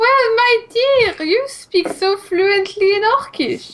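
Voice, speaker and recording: In a put-on character voice with a French accent, the speaker uses an extremely high pitch at a very slow pace. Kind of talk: courteous and formal.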